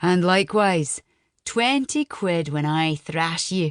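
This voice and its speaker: A put-on character voice at a middle pitch carries a Scottish accent over a quiet background. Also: fairly slow pace. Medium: read story. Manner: gruff, boisterous.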